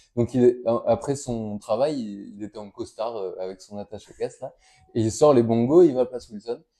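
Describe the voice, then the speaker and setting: In a southern French accent, a man with a dark, mellow tone speaks at a medium pitch and moderate pace, showing ordinary pitch variation and big swings in loudness. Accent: southern French (Toulouse). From Toulouse area, southern France (countryside near Verfeil). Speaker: guitarist and composer. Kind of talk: interview. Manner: halting, many hesitations.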